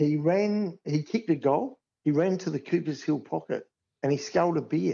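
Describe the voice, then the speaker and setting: A man with an Australian accent, fairly high in pitch, ordinary in pitch variation, at a moderate pace. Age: 60s. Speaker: grounds manager. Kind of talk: casual chat.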